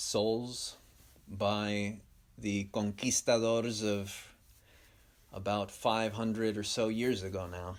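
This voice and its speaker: A man's fairly low, monotone voice with a Spanish accent, very slow and broken by long, frequent pauses. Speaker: podcast host. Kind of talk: stream-of-consciousness monologue.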